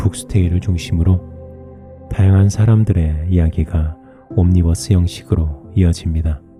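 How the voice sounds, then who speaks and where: Over music in the background, a man speaks at a very slow pace with very deep, low pitch and ordinary pitch variation. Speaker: sleep-book reader. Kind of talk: sleep story book reading.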